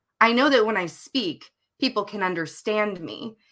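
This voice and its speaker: A woman speaks with a Southern US accent. Her tone is bright and sharp. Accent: mild Southern twang. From US South. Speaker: novelist co-hosting writing sprints. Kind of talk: casual livestream chat. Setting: live stream.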